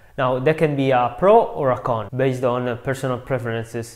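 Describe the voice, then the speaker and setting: Against noticeable background noise, a man speaks with an Italian accent. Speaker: video translator and YouTuber. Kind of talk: tutorial.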